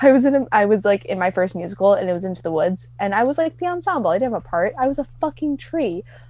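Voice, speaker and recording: With a Midwestern accent, a woman talks at a very fast pace with hardly any pauses, her dark, mellow voice fairly high and swinging very widely in pitch. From US Midwest. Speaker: podcast guest. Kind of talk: casual chat.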